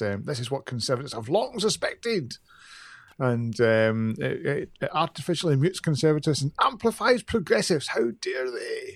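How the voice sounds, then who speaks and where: A man with a strong Glaswegian accent at a fairly quick pace, on a very clean recording with a silent background. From Glasgow, Scotland. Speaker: podcast co-host. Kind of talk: casual chat. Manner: can talk fast.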